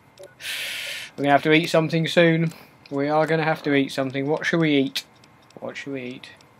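A man with fairly high pitch speaks at a moderate pace in monotone, flat intonation, with noticeable background noise behind him. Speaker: gaming let's play host. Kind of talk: casual let's play commentary. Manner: casual, rambling, chatty.

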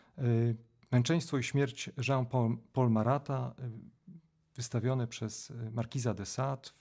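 A man's dark, mellow, somewhat breathy voice at a moderate pace, with fairly even intonation, over a quiet background. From Poland, Żnin (Pałuki, Greater Poland); Poland. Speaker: theatre scholar and professor; professor, podcast guest. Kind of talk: interview. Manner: halting, with many repetitions. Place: studio. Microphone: studio mic.

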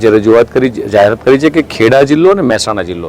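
A medium-pitched male voice over noticeable background noise. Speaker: state minister. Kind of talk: speech to reporters.

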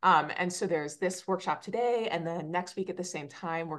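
Against a quiet background, a woman talks at a fairly quick pace, her fairly low pitch showing ordinary variation. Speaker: extension educator. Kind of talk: webinar introduction. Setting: video call webinar. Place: home room. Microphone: video call.

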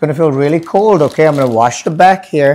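A man's dark, mellow tone carries lively intonation. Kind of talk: explanatory talk to camera.

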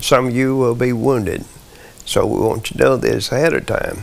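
A man with a Southern US accent talks at a moderate pace. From US South, Arkansas. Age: 90s. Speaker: war veteran. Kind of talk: interview testimony. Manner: halting. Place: home room. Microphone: lapel.

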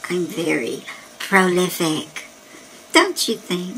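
Someone uses a put-on character voice at a very slow pace. Background noise is clear. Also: female-sounding voice, medium pitch for a woman. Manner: smug, boastful.

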